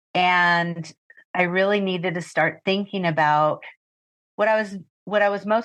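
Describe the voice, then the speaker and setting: A woman with a normal speaking voice talks at a fairly slow pace in a fairly low pitch with fairly even intonation, against a quiet background. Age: 60s. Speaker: retired pet sitter and business owner. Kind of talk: interview.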